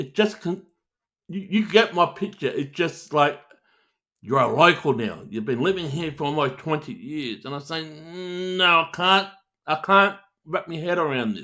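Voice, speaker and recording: With a bright, sharp tone, a man speaks in a high pitch and lively intonation. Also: moderate pace. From Australia, New South Wales (Sydney). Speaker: live-stream talk show host. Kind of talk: casual live-stream chat.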